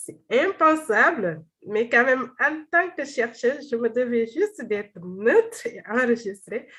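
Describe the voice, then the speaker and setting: A woman's high-pitched voice in a Senegalese accent, at a very slow pace, with very wide pitch swings and big swings in loudness, over a quiet background. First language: Wolof (speaking French). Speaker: doctoral researcher. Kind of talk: seminar presentation and Q&A. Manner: halting, many repetitions and fillers.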